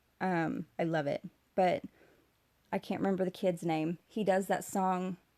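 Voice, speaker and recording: Recorded with a dry, close sound and no echo, a woman speaks at a fairly slow pace, her medium pitch carrying fairly even intonation. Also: very clean recording, silent background. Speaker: video blogger. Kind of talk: casual livestream talk.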